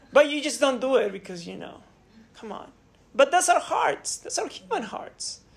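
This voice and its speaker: A woman speaks at a moderate pace in a high pitch with very wide swings. Her loudness rises and falls a lot over noticeable background noise. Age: 30s. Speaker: pastor. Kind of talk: sermon.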